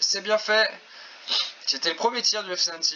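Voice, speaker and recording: The man talks fairly quickly, his pitch varying in an ordinary way, with noticeable background noise around him. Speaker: video game football commentator. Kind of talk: live commentary. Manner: animated.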